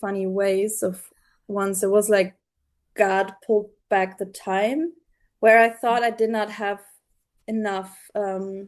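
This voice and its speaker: A woman with a German accent speaks at a fairly slow pace, her medium-pitched voice keeping a fairly even intonation. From Germany. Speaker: theology student. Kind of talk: casual chat. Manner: halting.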